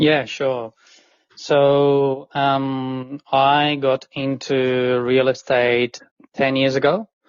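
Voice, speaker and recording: With an Italian accent, a man of medium pitch speaks at a very slow pace in a monotone, flat intonation and very even loudness. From Italy. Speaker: commercial buyer's agent. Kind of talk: podcast interview. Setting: studio.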